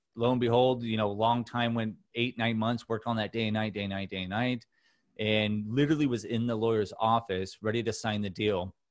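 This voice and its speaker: Monotone, flat intonation from a man with a Californian accent, medium pitch and a fairly quick pace. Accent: Californian American. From Southern California, Orange County. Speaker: mental health advocate and podcast host. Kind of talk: casual interview chat.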